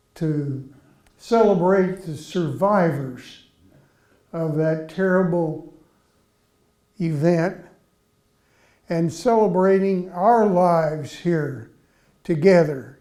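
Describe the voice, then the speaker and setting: A man with a Midwestern American accent and a dark, mellow tone, high in pitch, at a very slow pace with long, frequent pauses and ordinary pitch variation. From Columbia, Missouri. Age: 80s+. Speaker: artist. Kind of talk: speech to audience.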